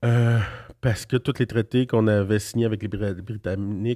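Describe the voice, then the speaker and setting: A man's dark, mellow voice, fairly low in pitch, at a moderate pace with fairly even intonation, on a very clean recording with a silent background. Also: dry, close sound with no echo. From Quebec, Abenaki nation. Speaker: politician. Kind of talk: interview. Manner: halting.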